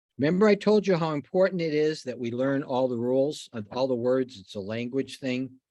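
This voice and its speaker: With an American accent, a man talks in a dark, mellow tone with lively intonation. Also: quiet background. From New York state. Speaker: insurance exam instructor. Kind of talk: online exam review game. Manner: casual, conversational.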